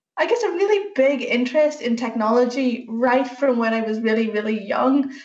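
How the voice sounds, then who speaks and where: Over audible room echo, a woman speaks at a moderate pace in a high pitch with lively intonation. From Northern Ireland. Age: 30s. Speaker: software engineer. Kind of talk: talk to school students.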